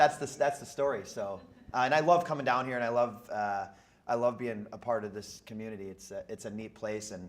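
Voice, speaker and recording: Amid audible room echo, a man speaks at a medium pitch and fairly quick pace with big swings in loudness. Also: ordinary pitch variation. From Minnesota, Twin Cities area. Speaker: real estate entrepreneur. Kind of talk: interview on stage.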